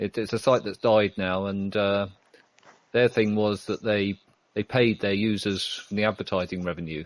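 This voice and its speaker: In a British accent, a man with a fairly low pitch talks at a moderate pace with fairly even intonation, the sound dry and close with no echo. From Britain. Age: 50s. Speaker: IT worker, online community member. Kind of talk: interview. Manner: halting.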